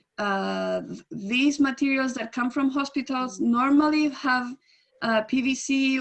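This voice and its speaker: In a Spanish accent, a woman speaks in a high voice at a fairly slow pace. Her pitch variation is ordinary. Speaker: environmental advocate. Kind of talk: webinar Q&A answer. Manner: halting, many fillers and restarts.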